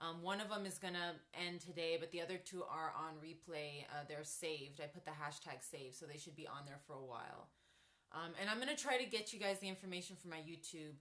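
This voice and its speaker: Through audible room echo, a woman with a bright, sharp tone speaks at a fairly quick pace. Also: fairly low pitch for a woman, ordinary pitch variation. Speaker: chronic illness vlogger. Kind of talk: livestream chat. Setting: home office. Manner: casual with many fillers.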